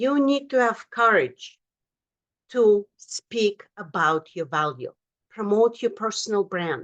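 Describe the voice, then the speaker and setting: A woman speaks at a very slow pace with a non-native accent. Her fairly high pitch carries lively intonation. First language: not English. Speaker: motivational speaker and author. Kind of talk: motivational talk. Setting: virtual event from home office.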